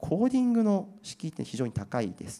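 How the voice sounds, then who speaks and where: Fairly quick speech from a man over a quiet background. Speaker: IT company presenter on generative AI trends; presenter. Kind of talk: seminar presentation and panel discussion. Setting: seminar hall with audience at an expo. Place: hall. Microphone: handheld.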